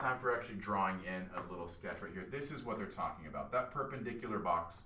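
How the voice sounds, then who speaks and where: A man with a bright, sharp tone speaks fairly quickly, with audible room echo around him. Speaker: math teacher. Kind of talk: tutorial. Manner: casual.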